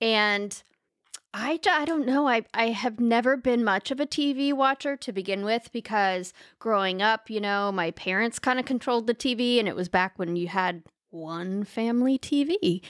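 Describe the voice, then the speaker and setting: A woman with a normal speaking voice in an American accent, fairly high in pitch with lively intonation, at a moderate pace, on a very clean recording with a silent background and a dry, close sound with no echo. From US South. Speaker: podcast co-host. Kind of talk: casual chat. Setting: home studio in spare room.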